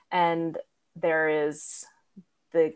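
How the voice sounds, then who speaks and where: A woman with an American accent, fairly low in pitch, with fairly even intonation and an ordinary speaking voice. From New Hampshire, US. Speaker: doctoral music student and conductor. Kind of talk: casual interview.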